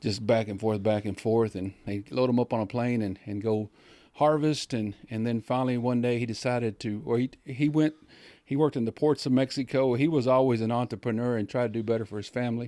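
A man speaks at a fairly quick pace with a dark, mellow tone and fairly even intonation. The sound is dry, with no echo. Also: quiet background. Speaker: podcast guest. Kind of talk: interview answer. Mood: calm, reflective. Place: studio. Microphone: studio mic.

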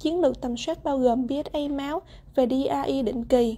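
This woman's voice is high-pitched with a dark, mellow tone and ordinary pitch variation. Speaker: medical student. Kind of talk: class presentation. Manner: formal.

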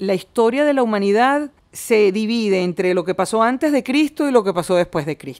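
Over a very clean recording with a silent background, a woman has a plain, everyday voice. She speaks at a moderate pace, fairly high in pitch, with lively intonation. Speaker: film director and screenwriter. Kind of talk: interview.

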